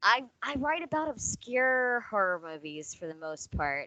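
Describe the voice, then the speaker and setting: An American accent with very wide pitch swings in a dry, close sound with no echo. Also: woman. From US South, Mississippi. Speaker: podcast guest, entertainment journalist. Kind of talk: casual chat.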